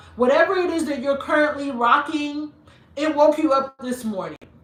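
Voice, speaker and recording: A woman talks in an animated tone while noticeable background noise carries on around her. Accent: American. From Nigeria and US, mixed upbringing. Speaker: style YouTuber. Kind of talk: live-stream Q&A chat.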